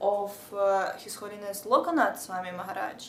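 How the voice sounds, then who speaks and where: A woman speaks with a Russian accent. Audible room echo surrounds her voice. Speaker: podcast host, devotional. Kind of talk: casual Q&A monologue. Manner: hesitant, many fillers.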